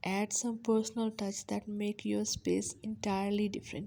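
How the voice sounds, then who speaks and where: This woman's voice is somewhat breathy. Her tone is dark and mellow. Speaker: home decor video creator. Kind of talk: scripted narration.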